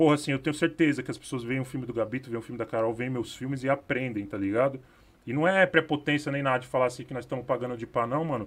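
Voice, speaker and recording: At a very fast pace, a man with medium pitch talks with ordinary pitch variation. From São Paulo, Capão Redondo. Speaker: filmmaker. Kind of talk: panel discussion. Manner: casual slang-heavy.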